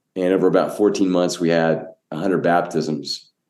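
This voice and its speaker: A man talks at a moderate pace in a dark, mellow tone. Room echo is audible. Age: 60s. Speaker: pastor and church planter. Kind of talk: podcast interview.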